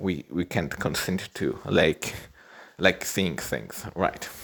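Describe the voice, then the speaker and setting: This man has a very deep, low pitch with vocal fry, a non-native accent, and ordinary pitch variation. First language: not English. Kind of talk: casual monologue. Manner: halting, many repetitions.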